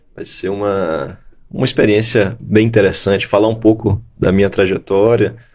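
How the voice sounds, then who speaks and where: A man's normal speaking voice at a fairly low pitch and moderate pace, on a very clean recording with a silent background. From Bahia, Salvador. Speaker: law professor and jurist. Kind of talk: interview. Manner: conversational.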